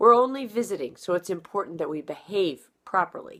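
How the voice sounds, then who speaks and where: A woman does a put-on character voice that comes out raspy. Her pitch is medium and her pace fairly quick. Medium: read story. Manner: earnest, instructive.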